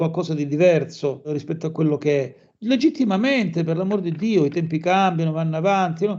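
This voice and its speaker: Talking at a fairly quick pace, a man has an ordinary speaking voice with a fairly high pitch. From Calabria, Catanzaro. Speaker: musician and anthropologist. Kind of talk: interview conversation.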